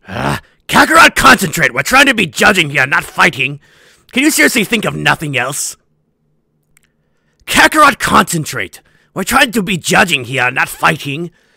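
Against a silent background in a very clean recording, a man uses a high-pitched put-on character voice with long, frequent pauses. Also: moderate pace. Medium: dub. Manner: boastful, commanding.

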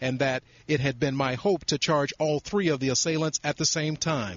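This is an ordinary speaking voice, a man's, fairly high in pitch. He talks at a moderate pace. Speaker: field news reporter. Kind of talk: 2006 TV news broadcast report. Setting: on location, remote from anchor. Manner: formal, brisk, even newsreader delivery.

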